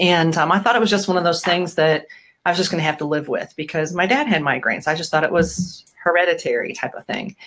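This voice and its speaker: In an American accent, a woman talks at a very fast pace with a fairly low pitch. Her pitch varies in an ordinary way against a quiet background. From US Midwest, Bettendorf, Iowa; Iowa. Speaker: rugby program supporter; interview guest, chiropractor. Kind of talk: casual interview. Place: home room.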